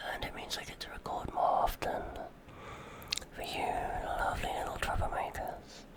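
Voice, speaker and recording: Long, frequent pauses break up whispering heard over noticeable background noise. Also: moderate pace. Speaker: ASMR creator. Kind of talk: ASMR rambling talk to the microphone. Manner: whispered, intimate.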